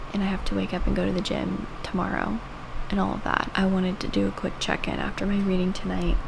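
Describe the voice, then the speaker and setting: Over noticeable background noise and audible room echo, a woman speaks at a very fast pace. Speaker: book reviewer. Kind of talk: reading vlog. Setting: at home. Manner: casual, chatty.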